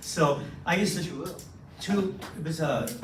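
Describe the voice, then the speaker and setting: A man with an American accent and a fairly high pitch, with noticeable background noise and audible room echo. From Southern California. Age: 60s. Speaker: former police officer, anti-trafficking speaker. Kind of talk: talk to a men's breakfast audience. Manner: conversational, interactive.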